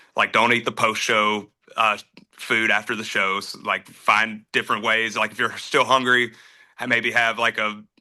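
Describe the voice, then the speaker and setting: Against a quiet background, a man with a Southern US accent speaks at a moderate pace in a bright, sharp tone with monotone, flat intonation. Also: medium pitch for a man. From North Carolina. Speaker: country singer. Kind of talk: casual interview chat. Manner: casual, many fillers.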